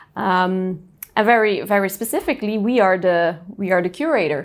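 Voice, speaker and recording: A normal speaking voice goes at a moderate pace with ordinary pitch variation. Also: woman, very clean recording, silent background. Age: 30s. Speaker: company CEO. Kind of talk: casual interview.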